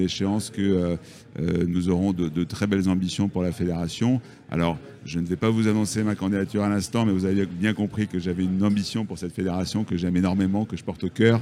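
Very fast, a man with a very deep, low pitch talks in a dark, mellow tone. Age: 50s. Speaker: real estate agent and federation official. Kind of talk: interview. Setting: live from a trade fair.

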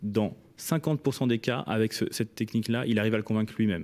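A man's medium-pitched, dark, mellow voice at a very fast pace, with ordinary pitch variation, on a very clean recording with a silent background. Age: 20s. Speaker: startup founder. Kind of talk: radio interview.

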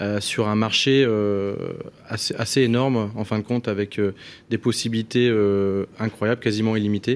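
A man speaks with a fairly low pitch at a moderate pace. His intonation is monotone and flat. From northern France. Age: 30s. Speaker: entrepreneur. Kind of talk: radio panel discussion.

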